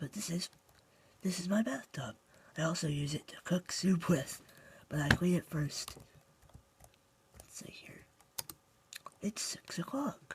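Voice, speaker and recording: Speech moves at a fairly slow pace. Pauses come often and last long. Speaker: gaming YouTuber. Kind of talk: game tutorial walkthrough. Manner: casual, halting.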